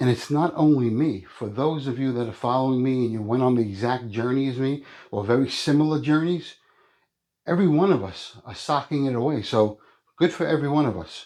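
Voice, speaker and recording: In a plain, everyday voice, a man talks at a fairly quick pace and medium pitch with ordinary pitch variation against a quiet background. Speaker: coin collecting youtuber. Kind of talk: casual vlog talk to viewers.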